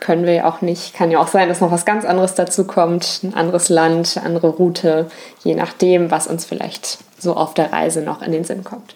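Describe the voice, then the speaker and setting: A woman with a fairly low pitch speaks at a moderate pace in a monotone, flat intonation. Noticeable background noise is present. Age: 20s. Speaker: travel podcast co-host. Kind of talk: casual chat.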